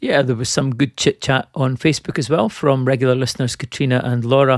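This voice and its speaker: Recorded very cleanly against a silent background, dry and close with no echo, a man uses an ordinary speaking voice at a medium pitch with fairly even intonation. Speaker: podcast host. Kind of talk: casual chat. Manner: humorous.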